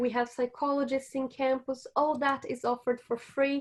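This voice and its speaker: With a Portuguese accent, a woman speaks at a high pitch and a moderate pace. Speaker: university staff presenter. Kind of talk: online seminar presentation. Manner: casual, with many fillers and repetitions.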